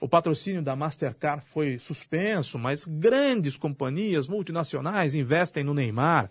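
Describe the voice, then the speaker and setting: Fairly high, somewhat breathy male voice with lively intonation, fairly slow but with hardly any pauses, over a quiet background. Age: 40s. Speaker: radio host. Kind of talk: casual radio debate.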